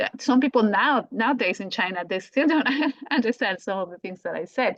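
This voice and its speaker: A woman with a strong Colombian accent, fairly high-pitched and fairly quick, with lively intonation and big swings in loudness. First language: Spanish. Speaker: language teacher. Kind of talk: podcast conversation. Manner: halting, many restarts.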